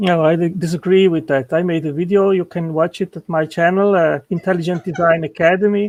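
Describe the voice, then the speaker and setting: A man with a non-native accent and a high pitch speaks at a fairly quick pace with hardly any pauses and fairly even intonation, in a dry, close sound with no echo over a quiet background. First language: not English. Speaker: intelligent design apologist. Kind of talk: heated debate. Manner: halting.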